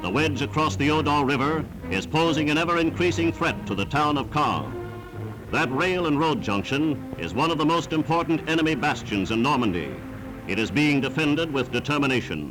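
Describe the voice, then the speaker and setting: Over background music, a man delivers his lines in a dramatic tone at a fairly high pitch and fairly quick pace, with lively intonation and very even loudness. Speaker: newsreel narrator. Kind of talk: wartime newsreel narration. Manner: dramatic, emphatic.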